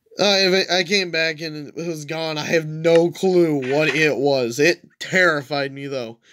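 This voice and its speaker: In a very clean recording with a silent background, a man speaks in a normal speaking voice, fairly high-pitched, at a fairly slow pace with ordinary pitch variation. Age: 20s. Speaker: gaming YouTuber. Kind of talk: gameplay commentary. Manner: casual, frequent laughing.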